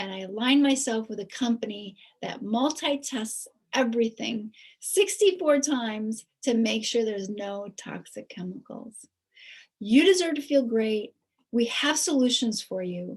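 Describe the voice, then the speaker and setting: A woman speaks in a normal speaking voice at a fairly high pitch and a fairly slow pace, with lively intonation and big swings in loudness. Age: 60s. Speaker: nurse promoting health products. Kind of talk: sales pitch.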